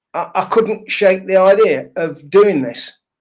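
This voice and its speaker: A man with a northern English accent, high in pitch, with ordinary pitch variation. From northern England. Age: 60s. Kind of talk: interview. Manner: hesitant, with fillers.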